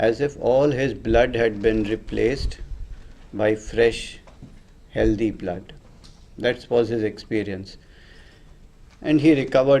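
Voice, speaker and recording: Speaking in a dark, mellow tone, a man with a Tamil accent leaves long, frequent pauses. Audible room echo surrounds his voice. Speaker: homeopathy teacher. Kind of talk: lecture.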